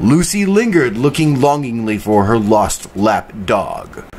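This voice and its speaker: With an ordinary speaking voice, a man of medium pitch talks at a fairly slow pace with lively intonation. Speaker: voice actor. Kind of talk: vocal warm-ups and tongue twisters. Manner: repetitive, drilled, exaggerated articulation.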